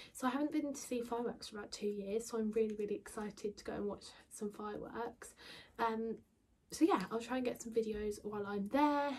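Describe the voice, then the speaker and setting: A woman with an English accent speaks at a fairly high pitch with ordinary pitch variation, a somewhat breathy voice and big swings in loudness. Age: 20s. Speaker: beauty and lifestyle vlogger. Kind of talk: casual vlog talk. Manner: quiet.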